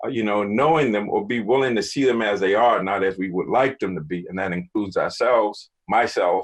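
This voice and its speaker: Over a quiet background, a man with a fairly low pitch speaks fairly quickly with ordinary pitch variation. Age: 60s. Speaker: mindfulness coach. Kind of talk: panel discussion. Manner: halting.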